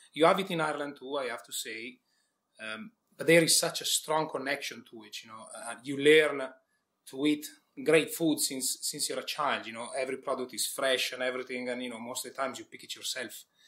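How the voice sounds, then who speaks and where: A man with an Italian accent, fairly high in pitch, bright and sharp in tone, at a fairly quick pace with ordinary pitch variation. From Italy, village near Milan. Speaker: executive chef. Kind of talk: interview.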